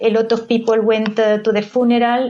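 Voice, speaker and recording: A woman with a Spanish accent speaks at a moderate pace in a fairly high pitch, her dark, mellow tone delivered in a monotone, flat intonation. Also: quiet background. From Spain, Madrid. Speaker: advocate for a beatification cause. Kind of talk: interview. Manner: halting, with many fillers.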